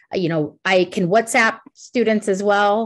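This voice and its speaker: Against a quiet background, a woman with a New York accent talks at a moderate pace and medium pitch, with ordinary pitch variation. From New York City. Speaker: college international recruiter. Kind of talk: webinar presentation Q&A.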